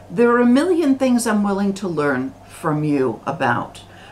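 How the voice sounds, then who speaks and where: A woman speaks in an American accent at a moderate pace. Noticeable background noise is present. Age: 60s. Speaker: religious commentator. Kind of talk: vlog monologue. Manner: halting, many repetitions.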